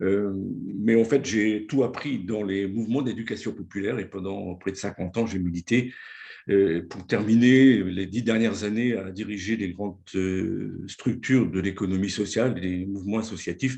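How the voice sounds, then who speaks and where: A man speaks at a moderate pace in a fairly low pitch. His tone is dark and mellow. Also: fairly even intonation. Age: 70s. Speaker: former local councillor and nonprofit leader. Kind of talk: presentation. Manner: talkative; hesitant, frequent filler words.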